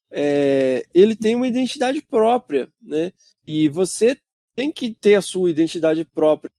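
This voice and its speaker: Over a dry, close sound with no echo, a man with a dark, mellow tone talks at a moderate pace while his pitch swings very widely. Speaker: podcaster, science communicator. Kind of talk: casual chat. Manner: hesitant, many fillers.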